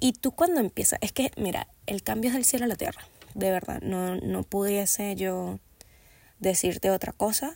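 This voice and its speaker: The speaker has an animated tone and a moderate pace, with a dry, close sound and no echo. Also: woman. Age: 20s. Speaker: podcast host. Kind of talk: solo podcast monologue.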